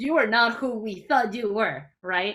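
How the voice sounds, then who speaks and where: The voice has a bright, sharp tone with a Mexican accent. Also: woman. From Mexico, Mexico City. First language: Spanish. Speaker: chemistry education researcher. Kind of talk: workshop talk.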